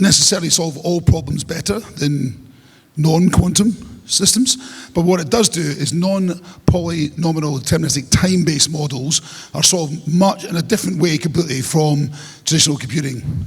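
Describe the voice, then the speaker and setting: A man with an Edinburgh accent, fairly high pitch and ordinary pitch variation, over noticeable background noise. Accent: Scottish (Edinburgh). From Scotland, Edinburgh. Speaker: conference speaker, tech business founder. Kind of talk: conference talk. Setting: stage with audience. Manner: fast.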